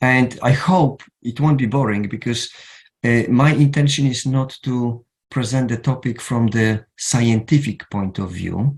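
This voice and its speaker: A man speaks slowly, at a fairly unhurried pace, in a somewhat breathy voice. His pitch is medium, with ordinary variation. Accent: Polish. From Poland. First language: Polish. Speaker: counsellor. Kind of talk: lecture. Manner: halting.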